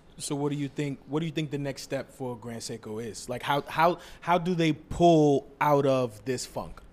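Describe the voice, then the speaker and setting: In an ordinary speaking voice, a man with a fairly high pitch talks at a moderate pace with hardly any pauses. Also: ordinary pitch variation. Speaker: podcast co-host. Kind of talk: casual chat.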